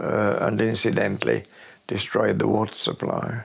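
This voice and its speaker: The speaker talks at a fairly slow pace in a Yorkshire accent. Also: man. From Sheffield, England. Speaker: retired local government worker. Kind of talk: interview answer. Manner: hesitant, many fillers.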